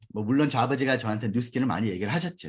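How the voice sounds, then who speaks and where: A somewhat breathy male voice. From US, New York. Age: 40s. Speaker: network marketing business leader. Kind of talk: business seminar talk with personal testimony.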